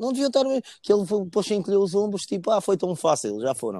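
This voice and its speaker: In a European Portuguese accent, a man with a dark, mellow tone talks at a fairly quick pace with very wide pitch swings. The recording is very clean with a silent background and a dry, close sound with no echo. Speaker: football fan. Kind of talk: casual chat.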